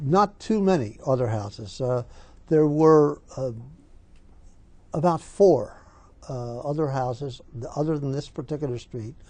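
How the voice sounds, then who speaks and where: The speaker talks at a fairly slow pace with a Philadelphia accent. Long pauses come often. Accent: Philadelphia-area American. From Pennsylvania, Philadelphia area (Bala Cynwyd). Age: 70s. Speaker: oral history interviewee. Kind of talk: oral history interview. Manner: halting, many fillers.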